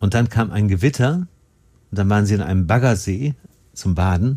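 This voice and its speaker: Speaking at a moderate pace, a man has a dark, mellow, somewhat breathy tone and lively intonation. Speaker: podcast host. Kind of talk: casual interview. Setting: studio.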